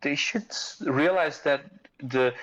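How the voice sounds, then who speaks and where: The speaker has a non-native accent. Pitch varies in an ordinary way. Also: man. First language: not English. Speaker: fitness community member and father. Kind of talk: casual podcast chat. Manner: halting, many repetitions.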